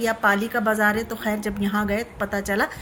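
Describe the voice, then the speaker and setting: A woman keeps a moderate pace as noticeable background noise fills the clip. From Rampur, Uttar Pradesh, India. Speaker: travel vlogger. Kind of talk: vlog narration. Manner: casual, conversational.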